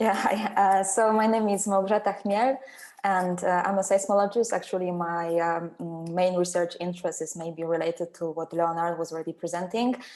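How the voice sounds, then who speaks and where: A woman's medium-pitched voice with a Polish accent, fairly even intonation and a moderate pace. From Poland. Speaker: seismologist, postdoctoral researcher. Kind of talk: webinar panel talk.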